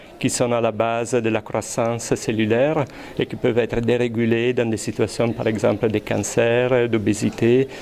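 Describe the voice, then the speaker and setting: A man with an Italian accent, fairly slow pace and monotone, flat intonation, over noticeable background noise. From Italy. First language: Italian (speaking French). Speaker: research scientist. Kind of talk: interview. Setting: high school classroom or lab. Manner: hesitant, many fillers and repetitions.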